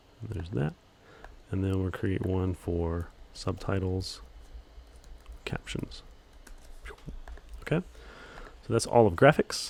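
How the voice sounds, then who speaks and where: A man's very deep, low voice at a fairly slow pace, with long, frequent pauses. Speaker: video editing instructor. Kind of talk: tutorial. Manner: monotone; hesitant with many fillers.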